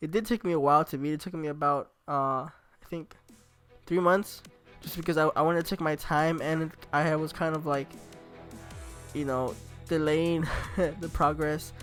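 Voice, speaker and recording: A man talks at a moderate pace with long, frequent pauses while music plays in the background. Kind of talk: casual talk to camera.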